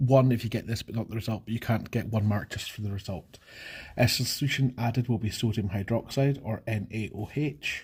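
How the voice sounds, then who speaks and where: At a fairly quick pace, a man speaks in a somewhat breathy, medium-pitched voice with fairly even intonation in a very clean recording with a silent background. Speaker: chemistry teacher. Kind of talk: exam walkthrough tutorial. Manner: fast.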